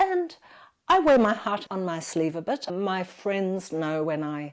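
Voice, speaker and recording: A normal speaking voice with lively intonation moves at a fairly slow pace in a very clean recording with a silent background. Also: woman. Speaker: architect. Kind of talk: interview.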